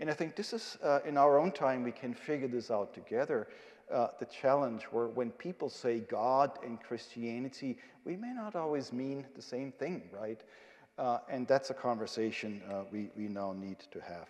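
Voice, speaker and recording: Here a man with a medium pitch talks at a moderate pace with lively intonation. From Germany. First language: German. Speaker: theology professor. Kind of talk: lecture. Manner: hesitant, many filler sounds.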